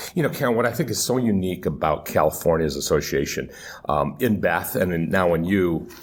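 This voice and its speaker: Audible room echo surrounds a man whose fairly low voice has lively intonation. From Michigan, US. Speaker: podcast host. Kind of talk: interview. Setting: live at a conference.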